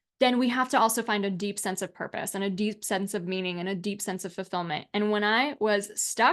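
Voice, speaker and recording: With a General American accent, the speaker sounds animated, with ordinary pitch variation and hardly any pauses. The background is quiet. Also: woman. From United States, Polish immigrant household. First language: Polish. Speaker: alcohol-free coach and author. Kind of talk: online masterclass presentation.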